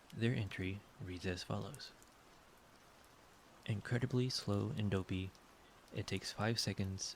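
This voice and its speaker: The man's voice is somewhat breathy. He speaks with fairly even intonation and long, frequent pauses. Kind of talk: sleep aid ASMR reading of game encyclopedia entries.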